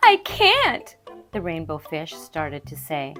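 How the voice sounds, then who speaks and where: A woman's fairly slow speech, with music in the background. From Canada. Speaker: kindergarten teacher and voiceover actor. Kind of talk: children's read-aloud.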